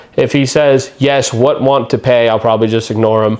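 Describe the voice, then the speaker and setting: A man talking at a fairly quick pace with fairly even intonation, over noticeable background noise. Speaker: YouTuber, trading card collector and vendor. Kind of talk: casual vlog monologue. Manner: fast; chatty.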